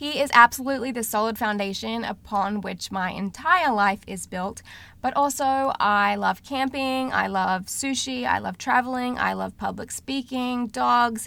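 On a very clean recording with a silent background, a woman with an American accent speaks at fairly high pitch and a fairly slow pace, with ordinary pitch variation and hardly any pauses. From Australia. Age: 30s. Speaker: podcast host. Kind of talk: solo podcast introduction. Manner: animated.

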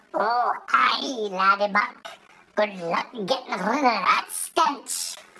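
A woman uses a put-on character voice with a fairly high pitch. She speaks at a very slow pace.

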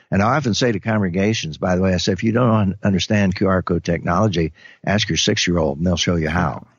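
A man with an American accent speaks at a very fast pace in a very deep, low pitch. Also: ordinary pitch variation. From US Midwest, German community in the Ozarks. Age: 80s+. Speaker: retired pastor, author and Bible teacher. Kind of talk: interview conversation.

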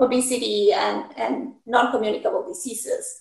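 This is a woman with a high pitch. Her pitch varies in an ordinary way. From Mexico. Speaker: nutrition professor. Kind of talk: interview.

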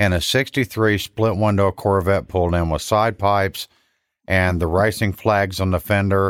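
A man speaks at a moderate pace in a normal speaking voice, fairly low in pitch, with fairly even intonation and very even loudness. The recording is very clean, with a silent background and a dry, close sound with no echo. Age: 50s. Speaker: church car ministry leader. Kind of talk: testimony.

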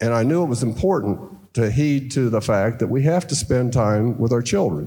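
Somewhat breathy and dark, mellow in tone, a man's medium-pitched voice moves at a moderate pace. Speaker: car dealer. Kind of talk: live panel conversation. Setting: stage with audience. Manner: animated.

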